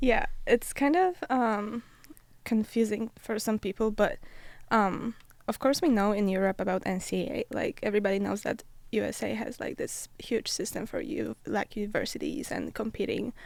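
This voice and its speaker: A woman with a Polish accent speaks at a moderate pace, her fairly high pitch showing ordinary variation and some vocal fry. The recording is very clean, with a silent background. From Poland. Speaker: college athlete, Olympic runner. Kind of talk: podcast interview. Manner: hesitant, many fillers.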